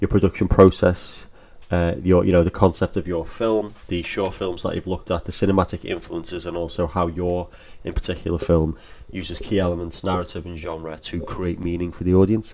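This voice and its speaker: A man with an English accent speaks at a fairly quick pace in a very deep, low voice, his tone dark and mellow and his intonation monotone and flat. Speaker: film studies teacher. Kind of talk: educational lesson narration over slides.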